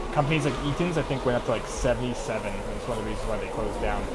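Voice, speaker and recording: A man speaks at a very fast pace. Loud background noise fills the recording. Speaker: streamer. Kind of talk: casual stream chat. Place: home room. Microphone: headset.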